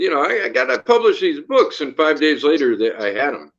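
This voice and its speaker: A man with an American accent talks at a moderate pace in a fairly high pitch. His intonation is lively. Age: 60s. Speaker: novelist and small press owner. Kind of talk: interview. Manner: halting.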